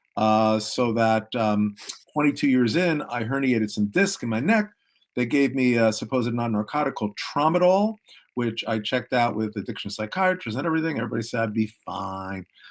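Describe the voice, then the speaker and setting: A man at medium pitch and moderate pace, a normal speaking voice with lively intonation, recorded very cleanly against a silent background. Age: 60s. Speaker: peer recovery specialist. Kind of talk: testimony.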